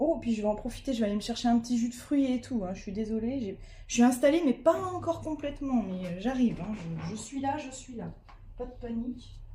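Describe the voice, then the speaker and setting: Her voice is high-pitched, with ordinary pitch variation and big swings in loudness. The woman talks at a fairly quick pace against noticeable background noise. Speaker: diamond painting streamer. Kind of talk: casual live stream chat.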